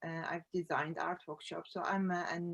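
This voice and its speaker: The speaker has an Arabic accent. The pace is moderate. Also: woman. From Iraq. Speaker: collage artist, founder of a women's art group. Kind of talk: conference presentation. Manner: halting, many fillers.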